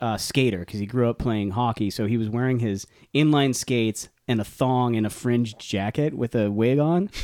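In an unremarkable speaking voice, a man talks at a moderate pace with hardly any pauses, using a medium pitch with ordinary variation. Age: 50s. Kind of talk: casual chat.

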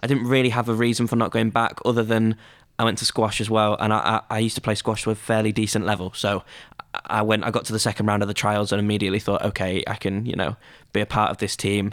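A man talks at a very fast pace. His fairly low voice stays monotone and flat. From northern England, Scunthorpe area (Lincolnshire). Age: 20s. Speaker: student radio station head. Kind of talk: casual chat. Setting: studio.

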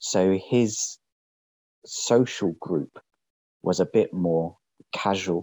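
A man speaks with a very deep, low pitch. His pace is very slow, with long, frequent pauses. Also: fairly even intonation. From London, England. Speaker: podcast guest. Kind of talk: casual chat. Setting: separate room from host. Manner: formal.

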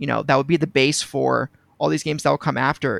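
A man speaks with vocal fry. The sound is dry and close with no echo, on a very clean recording with a silent background. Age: 20s. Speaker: gaming community member, college student. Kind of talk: casual chat. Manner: animated.

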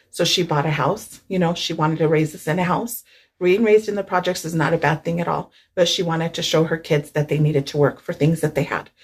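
Very fast and somewhat breathy, a woman with an American accent speaks at a fairly low pitch with fairly even intonation. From San Luis Valley, Colorado. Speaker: newspaper reporter. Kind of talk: casual interview chat.

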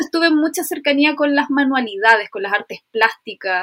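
A woman talks at a fairly quick pace with a Chilean accent. The sound is dry and close with no echo. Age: 30s. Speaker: illustrator and ceramicist. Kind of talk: casual chat.

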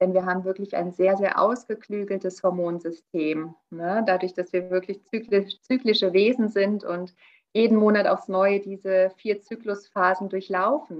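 This is a normal speaking voice at a fairly slow pace. The intonation stays fairly even. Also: woman, medium pitch for a woman. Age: 40s. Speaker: naturopath and nutrition coach. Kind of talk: interview.

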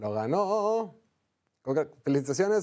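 Here a man talks with a high-pitched voice. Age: 40s. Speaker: sports podcast host. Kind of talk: casual sports talk show. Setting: studio.

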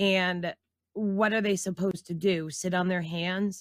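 In a dry, close sound with no echo, a woman speaks at a moderate pace with fairly low pitch and monotone, flat intonation. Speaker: guest panelist. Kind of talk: political talk show.

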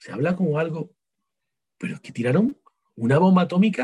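With a dark, mellow tone and a high pitch, a man speaks at a moderate pace with very wide pitch swings. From Spain, Seville. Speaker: writer and psychologist. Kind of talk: interview.

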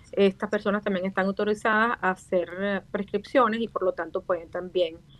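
A woman with a normal speaking voice at medium pitch, a moderate pace and fairly even intonation. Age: 50s. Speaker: facial aesthetics doctor and dentist. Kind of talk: radio interview.

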